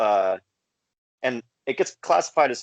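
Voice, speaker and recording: An ordinary speaking voice with an American accent and ordinary pitch variation comes through against a quiet background, with a dry, close sound and no echo. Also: man. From California. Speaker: folk punk musician. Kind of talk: casual interview. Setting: video call.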